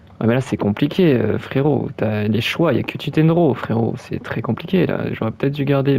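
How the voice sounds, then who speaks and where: Noticeable noise fills the background. The man's pitch varies in an ordinary way. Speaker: gaming YouTuber. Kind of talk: gameplay commentary. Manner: halting.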